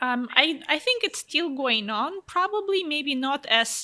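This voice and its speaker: This woman speaks with a Russian accent. Her pace is fairly slow. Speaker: fashion model. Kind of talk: interview. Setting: office.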